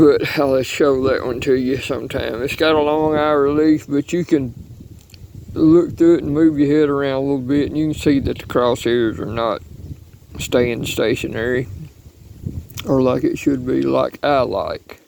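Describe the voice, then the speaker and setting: A man with a fairly high pitch speaks at a moderate pace with fairly even intonation. Noticeable background noise can be heard. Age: 60s. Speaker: hunter and reloading hobbyist. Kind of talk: casual video talk. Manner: halting.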